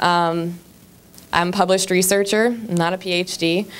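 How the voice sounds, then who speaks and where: A woman with a medium-pitched voice talks with fairly even intonation. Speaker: public health nursing professor, audience member. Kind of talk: public comment at town hall. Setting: town hall meeting with audience. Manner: halting.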